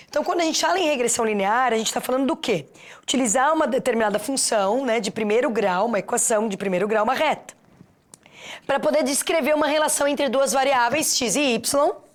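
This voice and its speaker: A woman talks very fast in an animated tone. Her pitch is high, with ordinary variation. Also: very even loudness. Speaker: teacher. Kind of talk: lecture. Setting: studio.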